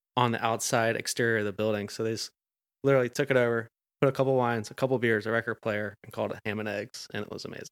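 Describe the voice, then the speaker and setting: A man with an American accent speaks in a monotone, flat intonation. The recording is very clean with a silent background and a dry, close sound with no echo. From Atlanta, US South. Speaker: chef. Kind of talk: casual chat.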